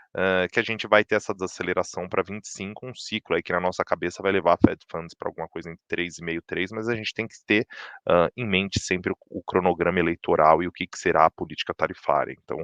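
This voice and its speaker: A man with a very deep, low pitch talks at a very fast pace with fairly even intonation and big swings in loudness, the sound dry and close with no echo over a quiet background. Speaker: chief economist. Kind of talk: market update presentation. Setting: livestream. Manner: many filler words and restarts.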